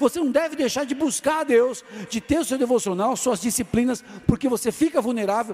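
A loud man with an extremely high pitch and ordinary pitch variation, over noticeable background noise. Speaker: pastor. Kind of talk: sermon. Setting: church.

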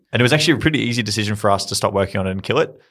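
A man speaks in an Australian accent at a fairly low pitch. The recording is very clean, with a silent background. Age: 20s. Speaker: startup founder. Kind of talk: interview.

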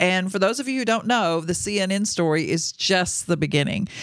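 The speaker uses an animated tone. The recording is very clean, with a silent background. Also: woman. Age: 20s. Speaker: podcast host, ministry leader. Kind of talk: interview.

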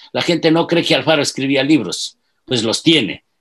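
His speech moves at a moderate pace. There is vocal fry in this man's voice. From Ecuador, Ibarra. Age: 70s. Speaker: historian and politician. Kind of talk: interview.

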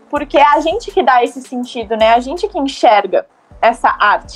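Pitch leaps and dips across a very wide range. The delivery keeps to a moderate speed. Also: woman. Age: 20s. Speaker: podcast co-host, dancer and artist. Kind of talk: casual chat.

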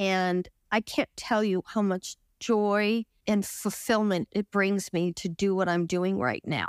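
A normal speaking voice from a woman, medium in pitch with ordinary pitch variation, dry and close with no echo, on a very clean recording with a silent background. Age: 60s. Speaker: retreat participant sharing recovery from depression. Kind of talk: interview testimony.

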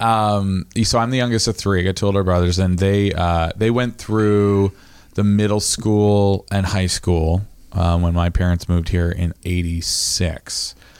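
A man talks fairly slowly in an American accent, at a fairly low pitch with fairly even intonation. He has a plain, everyday voice, and his loudness stays very even. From Maine, US (Midcoast). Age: 30s. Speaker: podcast host. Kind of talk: casual chat.

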